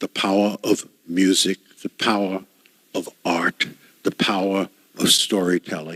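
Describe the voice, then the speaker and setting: A man with a very deep, low pitch talks in a monotone, flat way at a fairly slow pace. He leaves long, frequent pauses, and the sound is dry and close with no echo. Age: 80s+. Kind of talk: lecture.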